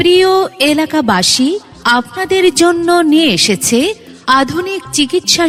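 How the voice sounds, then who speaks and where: Lively intonation from a female speaker, with music in the background. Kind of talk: loudspeaker advertisement read.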